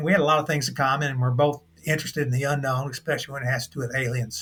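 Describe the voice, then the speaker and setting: Talking very fast, a man uses a fairly high pitch and fairly even intonation. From Kentucky. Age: 60s. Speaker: UFO investigator. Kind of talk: interview. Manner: halting.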